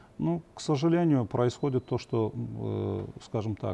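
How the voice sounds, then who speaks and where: Somewhat breathy with a dark, mellow tone, a man speaks with ordinary pitch variation. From Azerbaijan. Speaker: journalist and political analyst. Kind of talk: TV political panel discussion. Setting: TV studio.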